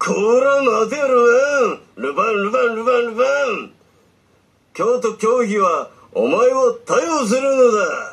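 A man in a cartoonish character voice speaks at a fairly slow pace with extremely high pitch, leaving long, frequent pauses. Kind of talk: puppet theatre skit. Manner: shouting.

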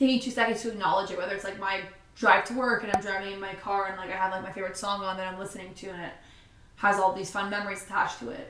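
Amid light background noise and audible room echo, a woman speaks at a very fast pace with fairly even intonation. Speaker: vlogger. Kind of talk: casual sit-down chat. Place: home room.

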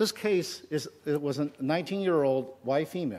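With a dark, mellow tone, a man speaks with ordinary pitch variation. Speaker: conference speaker. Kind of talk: lecture. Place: hall. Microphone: headset.

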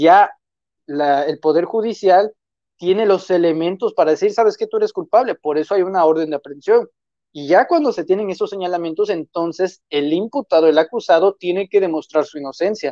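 Dry and echo-free, a man's high-pitched voice carries a dark, mellow tone, moving at a fairly quick pace with ordinary pitch variation. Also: quiet background. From Mexico, Tamaulipas. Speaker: political commentator and author; political commentator. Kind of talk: political commentary chat. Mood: critical, skeptical. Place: home room. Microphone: earbuds.

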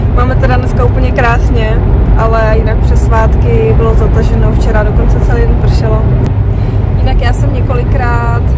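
There is loud background noise. A woman speaks at a moderate pace. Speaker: vlogger. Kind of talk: casual vlog chat. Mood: relaxed, cheerful. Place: car. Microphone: phone near.

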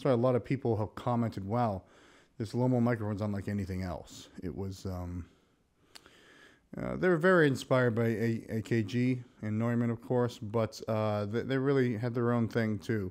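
Over a quiet background, a man speaks at a moderate pace with ordinary pitch variation. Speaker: microphone seller. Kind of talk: product demo talk. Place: studio. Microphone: studio mic.

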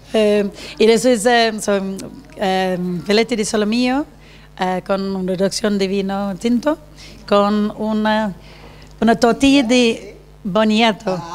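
Talking at a very slow pace with long, frequent pauses, a woman uses a fairly high pitch and fairly even intonation. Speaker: hotel representative; talk show guest. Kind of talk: casual chat. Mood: calm, relaxed. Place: home room. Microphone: handheld.

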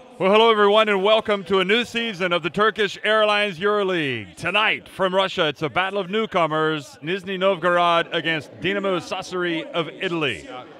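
A man with a high pitch talks in a raised, projected voice and an animated tone, at a fairly quick pace with hardly any pauses. His pitch variation is ordinary, and background noise is noticeable. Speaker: sports commentator. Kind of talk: live basketball commentary, play-by-play. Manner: animated, brisk play-by-play delivery.

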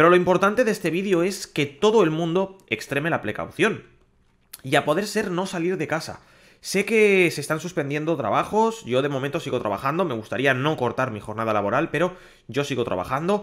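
In a Castilian accent, a man talks at a fairly quick pace with vocal fry and very wide pitch swings against a quiet background. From Spain. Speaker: gaming YouTuber. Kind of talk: public service message to viewers. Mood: serious, concerned. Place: home room. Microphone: studio mic.

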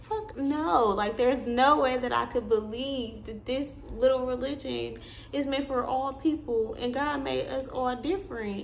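Here a woman talks in a high, animated voice at a moderate pace. Light background noise can be heard. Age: 20s. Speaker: YouTuber and spiritual content creator; vlogger. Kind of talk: casual monologue vlog. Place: home room. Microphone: phone near.

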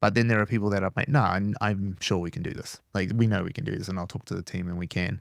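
A man at a very fast pace, fairly low in pitch, in a dry sound with no echo over a quiet background. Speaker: podcast guest. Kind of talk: interview answer. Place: studio. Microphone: studio mic.

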